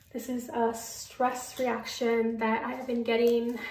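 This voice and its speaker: A woman speaks in a fairly high pitch. Noticeable background noise and audible room echo are present. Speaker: vlogger. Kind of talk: casual vlog. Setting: at home.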